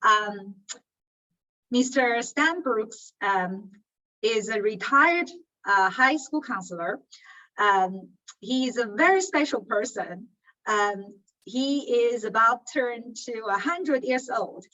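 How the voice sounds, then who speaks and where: Speaking at a very slow pace, a woman has a fairly high pitch and lively intonation. Her pauses are long and frequent. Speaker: interviewer. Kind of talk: interview introduction.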